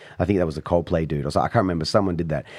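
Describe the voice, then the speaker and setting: This man's voice is very deep and low. He talks with an Australian accent. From Australia and Italy. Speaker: beatboxer and street performer. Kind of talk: casual chat. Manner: animated.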